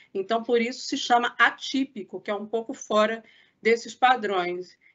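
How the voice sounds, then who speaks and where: Using an ordinary speaking voice, a woman talks at a fairly slow pace with a fairly high pitch and ordinary pitch variation. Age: 40s.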